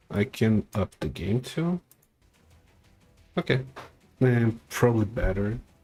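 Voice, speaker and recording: Over music in the background, a man with a medium-pitched voice and lively intonation talks at a very slow pace with long, frequent pauses, the sound dry and close with no echo. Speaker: vtuber streamer. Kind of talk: live game stream commentary.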